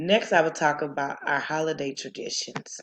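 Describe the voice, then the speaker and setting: Speaking at a fairly quick pace, a woman keeps a fairly even intonation in a very deep, low pitch. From US South. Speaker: student. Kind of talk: class presentation.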